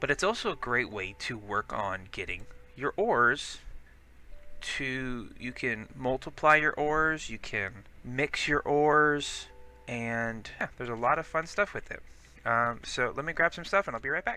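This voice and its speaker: Music plays in the background as a man talks fairly slowly with lively intonation. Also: medium pitch for a man. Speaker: gaming let's play host. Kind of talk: casual gameplay commentary. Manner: casual, rambling with fillers.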